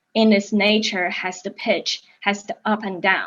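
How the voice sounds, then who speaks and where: In a Chinese accent, a woman speaks at a fairly slow pace with a medium pitch. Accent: Mandarin Chinese accent in English. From China, Beijing. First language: Mandarin. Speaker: actor. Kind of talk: interview. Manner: halting, frequent repetitions.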